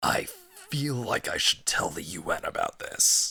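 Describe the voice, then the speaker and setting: Faint music plays behind a man doing a raspy, put-on character voice at a moderate pace. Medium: machinima. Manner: deadpan, sarcastic.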